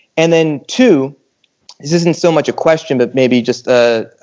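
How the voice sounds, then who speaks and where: Fairly even intonation and a moderate pace mark an unremarkable speaking voice. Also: man. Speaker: podcast host. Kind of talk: casual chat. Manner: humorous.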